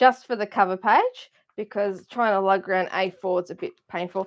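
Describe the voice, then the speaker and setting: Her pace is fairly slow. A woman talks at a medium pitch. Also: quiet background. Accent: Australian. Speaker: craft supplies seller. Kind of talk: live stream chat.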